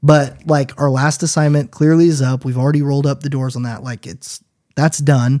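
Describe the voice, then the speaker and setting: On a very clean recording with a silent background, a man with an American accent uses a normal speaking voice, pitched fairly high, at a moderate pace. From US Pacific Northwest, Washington State. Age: 30s. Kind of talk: casual chat. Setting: studio.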